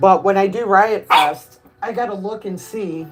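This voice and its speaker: A woman with a Chicago accent speaks at a fairly slow pace. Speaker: streamer. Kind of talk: casual chat. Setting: live stream.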